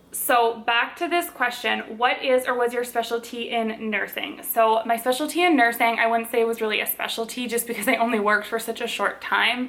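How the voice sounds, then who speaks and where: With a Minnesotan accent, a woman talks at a fairly quick pace in a fairly high pitch, with fairly even intonation and hardly any pauses. There is noticeable background noise. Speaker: lifestyle and cooking vlogger. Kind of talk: casual Q&A vlog.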